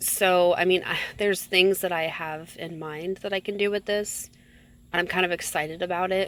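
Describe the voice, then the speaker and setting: Speaking at a moderate pace, a woman keeps a medium pitch with monotone, flat intonation. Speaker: soap maker and video creator. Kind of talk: casual voiceover narration. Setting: home at night. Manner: hesitant, many fillers.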